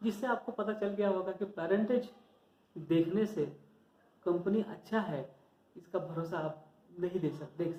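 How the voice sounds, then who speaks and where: Speaking with a Marathi accent, a man with a high voice leaves long, frequent pauses. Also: ordinary pitch variation. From Maharashtra, India. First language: Marathi (speaking Hindi). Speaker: stock market educator, YouTuber. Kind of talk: informal tutorial talk to viewers. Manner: halting, self-correcting.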